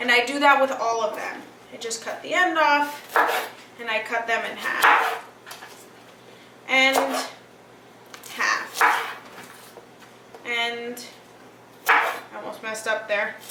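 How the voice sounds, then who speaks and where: A woman speaks at a very slow pace, her high voice showing ordinary pitch variation and big swings in loudness. Long, frequent pauses break up her speech, with audible room echo and noticeable background noise. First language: Greek. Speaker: cooking show host. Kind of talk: cooking tutorial. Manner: casual, chatty.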